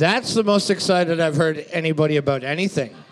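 Noticeable background noise accompanies speech whose pitch varies in an ordinary way. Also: man. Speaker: co-host, trivia scorekeeper. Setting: live bar venue. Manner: loud, excitable, profane.

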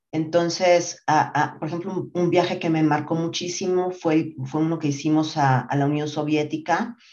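This woman has a very deep, low voice and speaks at a moderate pace with hardly any pauses. Her intonation is fairly even, and there is noticeable background noise. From Mexico City. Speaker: marketing executive. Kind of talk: interview. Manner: hesitant fillers, repeats words.

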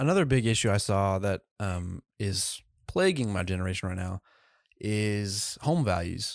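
A man's unremarkable speaking voice, fairly low and fairly slow with ordinary pitch variation, on a very clean, dry, close recording with a silent background and no echo. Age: young. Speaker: podcast host. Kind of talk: casual interview.

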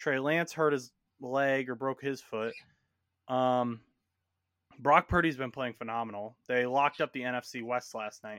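A bright, sharp tone comes with an American accent and fairly even intonation. Long, frequent pauses break up the speech on a very clean recording with a silent background. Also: man, medium pitch for a man, moderate pace, dry, close sound with no echo. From Indiana. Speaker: sports podcast host. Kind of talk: casual sports chat. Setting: home bedroom.

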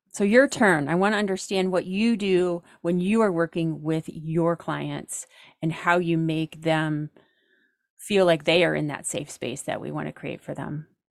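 In a very clean recording with a silent background, a woman with an American accent talks in an unremarkable speaking voice, fairly low in pitch, with ordinary pitch variation. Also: fairly slow pace. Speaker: professional organizer. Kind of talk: casual chat.

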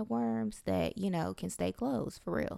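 The recording is very clean, with a silent background. A woman speaks at a moderate pace with very wide pitch swings. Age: 20s. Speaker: podcast host. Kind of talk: casual monologue.

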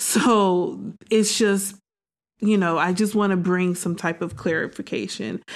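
Someone with an American accent talks at a fairly slow pace with ordinary pitch variation, in a very clean recording over a silent background. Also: woman, medium pitch for a woman. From Detroit, Michigan. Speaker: podcaster. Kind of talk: casual interview chat.

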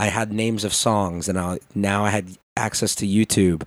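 A very deep, low-voiced man with an American accent and monotone, flat intonation, on a very clean recording with a silent background. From Chicago, US Midwest. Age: 20s. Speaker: DJ and content creator. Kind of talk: casual chat.

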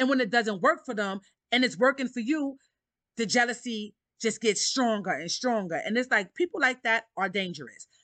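Against a quiet background, a woman with a New York accent speaks at a moderate pace in a fairly high pitch. Her tone is bright and sharp, and the sound is dry and close with no echo. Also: lively intonation. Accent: New York City. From Harlem, New York City. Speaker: podcast host. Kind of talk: casual monologue.

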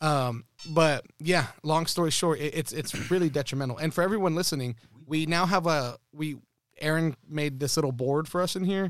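This man has an ordinary speaking voice, pitched fairly high, with an American accent, ordinary pitch variation and a moderate pace. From Texas. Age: 20s. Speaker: podcast host. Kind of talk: casual chat.

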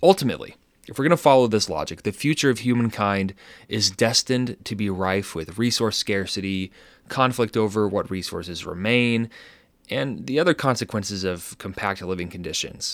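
A man with a fairly low pitch and ordinary pitch variation, at a moderate pace, on a very clean recording with a silent background. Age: 20s. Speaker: podcast host. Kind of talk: scripted narration. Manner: hesitant with fillers.

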